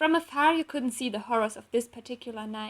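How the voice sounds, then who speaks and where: A woman speaks at a moderate pace with a non-native accent. Her pitch is fairly high. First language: not English. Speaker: fanfiction author and illustrator. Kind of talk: reading aloud. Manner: halting.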